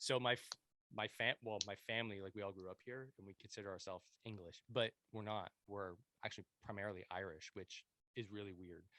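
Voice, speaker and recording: A man with a Montreal accent and a fairly low, bright, sharp voice speaks at a fairly quick pace with fairly even intonation and big swings in loudness, in a dry, close sound with no echo. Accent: Montreal anglophone Canadian English. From Quebec, Montreal anglophone. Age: 30s. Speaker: podcast host, veteran. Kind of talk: casual interview chat. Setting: home basement, remote podcast.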